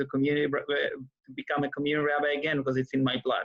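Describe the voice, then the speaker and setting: A man speaks with an Israeli accent. His pitch is fairly high. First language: Hebrew. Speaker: rabbi and author. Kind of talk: interview. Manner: hesitant, many fillers.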